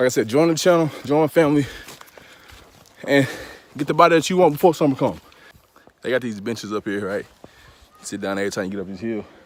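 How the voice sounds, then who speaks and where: A man at a very fast pace, medium-pitched, with lively intonation, big swings in loudness, long and frequent pauses, and noticeable background noise. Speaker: vlogger. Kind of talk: casual vlog while hiking. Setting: outdoors on a muddy hiking trail. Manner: casual, slangy.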